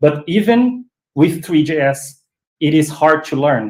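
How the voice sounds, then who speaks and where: The speaker talks at a fairly slow pace with a non-native accent. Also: man. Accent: non-fluent English. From Brazil. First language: Portuguese. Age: 40s. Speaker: 3D web designer. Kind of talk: casual chat. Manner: halting.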